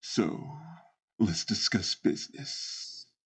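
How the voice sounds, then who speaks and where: A man's raspy, put-on character voice. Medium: actual play. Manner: smooth, gracious, condescending.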